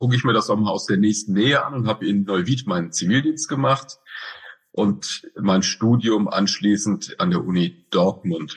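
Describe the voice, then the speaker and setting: Very wide pitch swings mark this man's speech, which is somewhat breathy. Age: 50s. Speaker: director of a school for the blind. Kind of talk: interview. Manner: hesitant with fillers.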